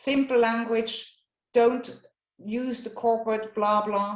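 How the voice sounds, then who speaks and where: A fairly slow, fairly high-pitched woman's voice in a Swiss German accent. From Switzerland, Basel. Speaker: career coach. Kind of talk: workshop talk. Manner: halting.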